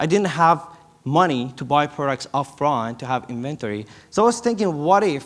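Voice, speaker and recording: A fairly quick delivery with lively intonation in a non-native accent. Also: man. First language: not English. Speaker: startup founder. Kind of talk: conference presentation. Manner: halting.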